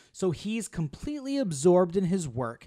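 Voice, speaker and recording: A high-pitched male voice at a fairly slow pace, with very wide pitch swings, on a very clean recording with a silent background. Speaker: movie podcast co-host. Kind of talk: casual chat. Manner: laughs often.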